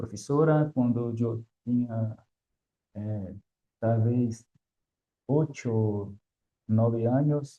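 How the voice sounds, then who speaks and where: A man speaks with a Brazilian accent. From Brazil, Salvador, Bahia. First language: Portuguese (speaking Spanish). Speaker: academic guest. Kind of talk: interview. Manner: halting.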